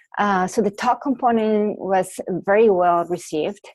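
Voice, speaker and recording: A woman talks at a fairly slow pace, the background quiet. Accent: Mexican. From Mexico. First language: Spanish. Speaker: researcher. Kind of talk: webinar presentation. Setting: online webinar. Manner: hesitant, with fillers.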